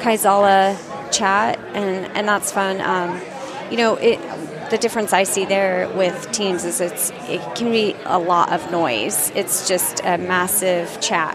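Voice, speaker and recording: Crowd noise fills the background while a woman speaks at a very slow pace with fairly even intonation. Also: medium pitch for a woman. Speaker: tech community manager. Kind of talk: casual chat. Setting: booth at a conference.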